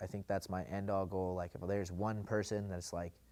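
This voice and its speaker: A man speaks with an American accent. His pitch is very deep and low, and his intonation is monotone and flat. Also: very clean recording, silent background. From eastern Washington, US. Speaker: rapper. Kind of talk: interview. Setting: sit-down interview. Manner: casual, filler-heavy.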